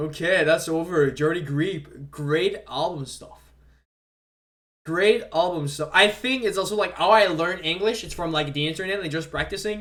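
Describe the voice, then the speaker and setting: A man speaks at a moderate pace in a French Canadian accent, his voice high for a man, with ordinary pitch variation. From Quebec. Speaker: streamer. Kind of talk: casual live stream commentary. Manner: halting, repeats words.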